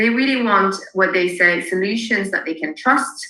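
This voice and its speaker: Her pitch medium and varied in an ordinary way, a woman speaks at a moderate pace. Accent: French. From France. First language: French. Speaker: marketing consultant. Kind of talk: webinar presentation.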